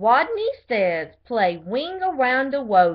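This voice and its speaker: A woman puts on a squeaky character voice, high in pitch. She speaks at a fairly slow pace with very wide pitch swings. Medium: read story.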